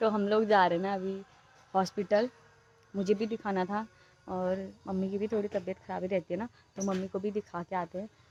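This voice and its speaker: With long, frequent pauses, a woman speaks in a flat monotone, her sound dry and close with no echo. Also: medium pitch for a woman, moderate pace. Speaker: family vlogger. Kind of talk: casual vlog talk. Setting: outdoors roadside.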